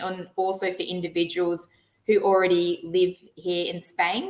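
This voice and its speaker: A woman speaks with an Australian accent at a medium pitch. Her intonation is monotone and flat. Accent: Australian, twangy. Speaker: financial planner. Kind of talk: webinar presentation.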